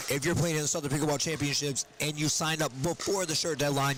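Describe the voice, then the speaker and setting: A man's fairly high voice in an American accent, at a fairly quick pace, over noticeable background noise. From Georgia, US South. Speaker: pickleball commentator. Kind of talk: live commentary. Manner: animated.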